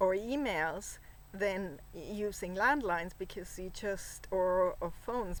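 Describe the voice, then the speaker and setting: A woman with a non-native accent, a medium pitch and ordinary pitch variation. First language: not English. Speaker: vlogger. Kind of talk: casual monologue. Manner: halting, many fillers.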